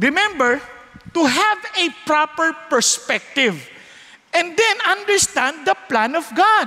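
A man speaks in a Filipino accent at a fairly slow pace. His raised, projected voice has very wide pitch swings. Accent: Filipino English, Taglish. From Philippines. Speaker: preacher. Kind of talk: sermon. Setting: church with live audience. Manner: animated, warm and humorous, acting out child and parent voices; conversational Taglish, asks the audience to respond. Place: church. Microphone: headset.

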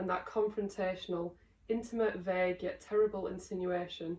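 A woman speaks with a Lancashire accent at a medium pitch. Her intonation is monotone and flat. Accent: Darwen, Lancashire. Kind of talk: short story reading.

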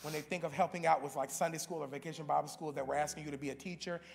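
There is light background noise. Over it, a man talks. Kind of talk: church announcements. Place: church. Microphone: podium.

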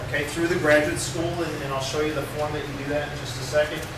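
Noticeable background noise is present. Audible room echo can be heard too. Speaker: graduate program faculty member. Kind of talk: announcements to students. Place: classroom. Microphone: camera far.

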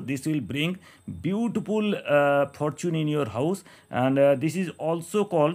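With ordinary variation in pitch, the man delivers his words at a fairly slow pace. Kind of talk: tutorial. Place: home room.

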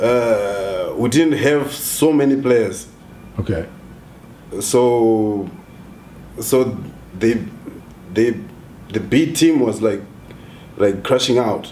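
A man at a very slow pace, lively intonation, and light background noise. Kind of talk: interview answer. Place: home room. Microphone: camera far.

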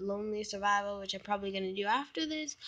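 A quiet woman's voice, medium in pitch, with lively intonation. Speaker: gaming YouTuber. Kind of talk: gameplay commentary.

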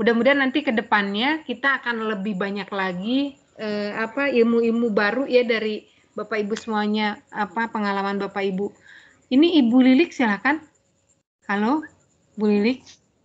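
A woman speaks in a plain, everyday voice with a fairly high pitch. Her pace is moderate, and her pitch variation is ordinary. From Tangerang Selatan, Indonesia; Indonesia. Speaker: moderator. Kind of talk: moderating webinar. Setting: video call. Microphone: video call.

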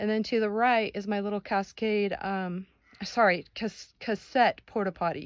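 An unremarkable speaking voice moves at a fairly slow pace, with a dry, close sound and no echo. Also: woman. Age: 60s. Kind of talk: casual DIY how-to talk to camera.

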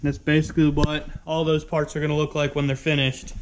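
Fairly quick speech from a man. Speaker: car builder vlogger. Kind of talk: casual vlog chat. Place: garage. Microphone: phone near.

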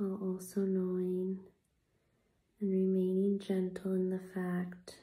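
Very slowly, a soft-spoken woman talks. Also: quiet background. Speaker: vlogger. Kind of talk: reflective personal talk. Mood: gentle, reflective. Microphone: phone near.

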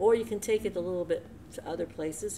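Against noticeable background noise, a woman with an American accent uses vocal fry and very wide pitch swings. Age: 60s. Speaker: church co-leader; devotional host. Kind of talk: conversational devotional talk. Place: home room. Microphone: webcam.

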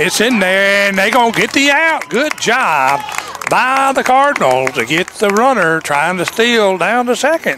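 Against crowd noise in the background, a man with a Southern US accent speaks fairly slowly in a raised, projected, high-pitched voice, his loudness very even while his pitch swings very widely. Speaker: sports broadcaster. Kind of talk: live baseball play-by-play commentary. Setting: outdoors at a baseball park, broadcast on TV. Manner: brisk, steady play-by-play delivery, calling each pitch and count.

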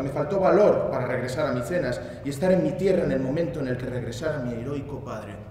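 The speech rushes at a very fast pace with lively intonation and hardly any pauses, with audible room echo and light background noise. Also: man. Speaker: actor giving a dramatic reading. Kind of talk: theatrical monologue reading. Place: stage.

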